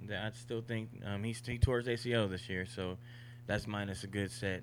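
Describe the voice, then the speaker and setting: An unremarkable speaking voice keeps a moderate tempo and fairly even intonation. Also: man. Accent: American. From Oakland, California. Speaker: guest football fan. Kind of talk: casual chat.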